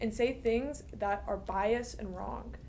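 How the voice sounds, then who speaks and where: A woman's fairly slow speech is heard with audible room echo. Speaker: university student. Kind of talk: interview.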